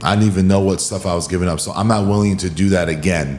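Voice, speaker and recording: A man speaks with a fairly low pitch and ordinary pitch variation. Music plays in the background. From Hawaii. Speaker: podcast host, wellness coach. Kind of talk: podcast interview.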